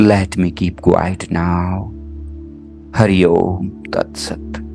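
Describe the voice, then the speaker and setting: The voice has a calm, soothing tone and fairly even intonation. Music plays in the background. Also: man, very deep, low pitch for a man. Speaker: spiritual healer and meditation guide. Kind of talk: guided meditation. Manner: slow, calm, soothing.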